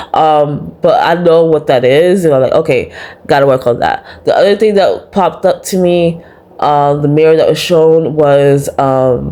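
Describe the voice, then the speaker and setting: Soft-spoken and at very even loudness, a woman talks at a moderate pace. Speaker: vlogger. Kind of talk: personal vlog monologue. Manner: soft-spoken, talks low.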